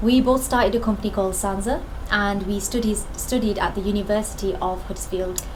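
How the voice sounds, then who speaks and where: Over noticeable background noise and audible room echo, a woman speaks at medium pitch and a fairly quick pace with fairly even intonation. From northern England, Bradford, Yorkshire. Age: 20s. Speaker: business co-founder. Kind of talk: personal testimony interview.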